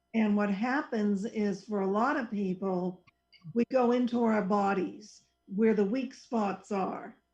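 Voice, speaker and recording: The woman's voice is somewhat breathy. She keeps her intonation fairly level. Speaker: psychologist who counsels clients. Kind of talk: casual radio talk show conversation.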